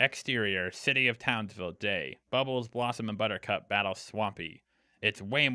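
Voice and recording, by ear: The pitch varies in an ordinary way as the text is read aloud in a natural voice.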